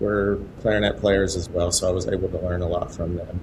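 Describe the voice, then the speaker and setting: A man talks at a very fast pace. Room echo is audible and there is noticeable background noise. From West Texas (Muleshoe). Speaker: high school band director. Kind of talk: interview podcast.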